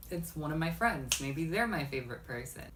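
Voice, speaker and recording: With lively intonation and an American accent, this voice moves at a fairly quick pace over audible room echo. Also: woman. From Texas. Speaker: YouTuber. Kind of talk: vlog monologue.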